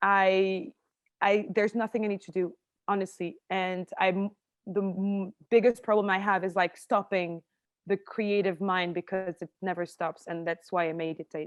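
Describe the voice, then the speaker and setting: Someone with a French accent speaks at a moderate pace with fairly even intonation, the sound dry and close with no echo over a quiet background. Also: woman, medium pitch for a woman. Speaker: actress and screenwriter. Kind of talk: interview conversation.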